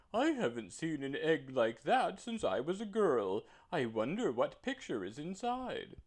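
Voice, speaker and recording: Putting on a character voice, a man talks at a moderate pace in a high, shrill pitch. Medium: read story.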